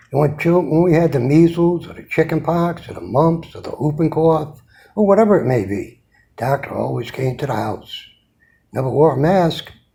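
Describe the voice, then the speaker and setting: A man with an American accent, fairly high in pitch, dark and mellow in tone, at a moderate pace, with ordinary pitch variation and big swings in loudness. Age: 70s. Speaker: military veteran. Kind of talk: rant.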